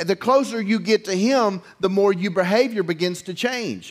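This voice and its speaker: Against a quiet background, the speaker keeps a moderate pace with ordinary pitch variation. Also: man. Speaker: preacher. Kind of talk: sermon. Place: church.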